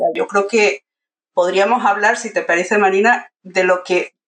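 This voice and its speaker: A woman's medium-pitched, normal speaking voice at a moderate pace. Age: 50s. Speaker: university pedagogy lecturer. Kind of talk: casual interview.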